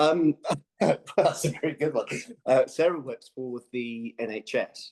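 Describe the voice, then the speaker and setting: The sound is dry and close, with no echo. A man talks at a fairly slow pace with a slight Birmingham accent. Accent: slight Brummie twang. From English Midlands, Birmingham and Stratford-upon-Avon. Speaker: business manager. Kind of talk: podcast interview. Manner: hesitant, many fillers.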